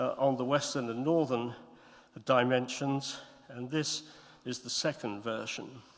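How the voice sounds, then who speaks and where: A man's voice in audible room echo, with long, frequent pauses and big swings in loudness. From Scotland. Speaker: art historian and editor. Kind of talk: conference talk. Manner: halting, many repetitions.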